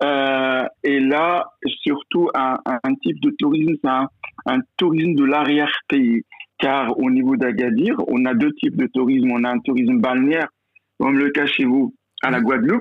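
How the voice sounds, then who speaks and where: The speech moves at a fairly slow pace, with ordinary pitch variation and very even loudness. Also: man, fairly high pitch for a man. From Morocco, rural mountain village. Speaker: university professor and business school director. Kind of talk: interview. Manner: hesitant, many repetitions.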